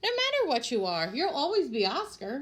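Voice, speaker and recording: A put-on character voice, female-sounding and high-pitched, with very wide pitch swings at a moderate pace. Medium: read story. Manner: soft, quiet.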